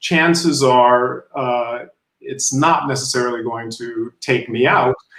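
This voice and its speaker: This man has an unremarkable speaking voice. His intonation is fairly even and his pace fairly slow. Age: 60s. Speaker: guest. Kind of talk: casual interview chat.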